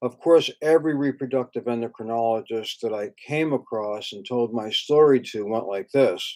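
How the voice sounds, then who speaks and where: In a normal speaking voice at a medium pitch, a man talks at a moderate pace with hardly any pauses, ordinary pitch variation, and big swings in loudness, on a very clean recording with a silent background. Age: 60s. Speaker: acupuncturist, fertility clinic founder. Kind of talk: direct-to-camera talk. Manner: casual, with fillers.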